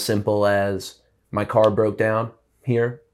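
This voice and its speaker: On a very clean recording with a silent background, a man with an American accent speaks very slowly in a fairly low, monotone, flat voice. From small-town Alabama (Prattville). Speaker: musician. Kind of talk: casual chat. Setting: studio.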